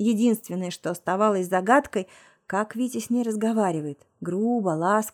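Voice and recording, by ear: Reading aloud in a natural voice, the speaker shows ordinary pitch variation, and the background is quiet.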